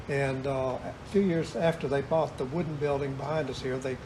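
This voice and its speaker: A man's fairly high voice in an American accent, fairly even in intonation, at a moderate pace, with audible room echo. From US South. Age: 70s. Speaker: retired store owner. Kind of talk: interview.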